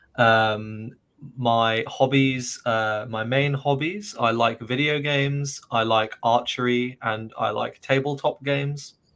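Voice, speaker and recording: Speaking very slowly with a southern English accent, a man holds a medium pitch and fairly even intonation. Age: 20s. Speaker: university graduate, English coach. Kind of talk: casual interview. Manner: hesitant, many fillers.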